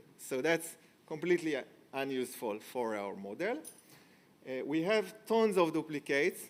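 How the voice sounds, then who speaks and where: A man speaks at a moderate pace. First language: not English. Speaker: tech company founder, conference speaker. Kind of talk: conference talk. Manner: hesitant, many fillers.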